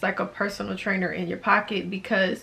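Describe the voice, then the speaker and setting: Over noticeable background noise, a woman speaks with monotone, flat intonation. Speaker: fitness vlogger. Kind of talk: casual tutorial vlog. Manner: fast.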